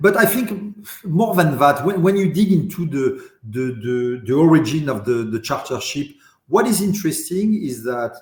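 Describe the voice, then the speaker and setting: A man with a French accent speaks at a fairly high pitch, his voice swinging very widely up and down. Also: moderate pace. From France, raised in Paris. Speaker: industry association deputy president. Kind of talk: podcast interview. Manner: halting, many repetitions and fillers.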